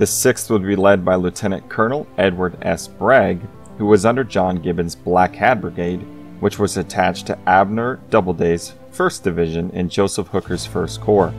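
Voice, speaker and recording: A man speaks at a moderate pace in a very deep, low voice. Music plays in the background. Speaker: narrator. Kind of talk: history documentary narration.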